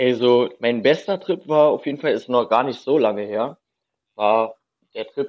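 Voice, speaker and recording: A man speaks at a fairly slow pace in an ordinary speaking voice, his medium pitch showing ordinary variation. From Berlin. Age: 30s. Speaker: urban explorer. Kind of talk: casual chat.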